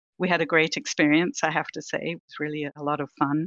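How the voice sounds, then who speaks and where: Speaking at a fairly quick pace, a woman with a slight British accent has a very deep, low pitch. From Britain. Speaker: vaccine research executive. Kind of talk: podcast interview.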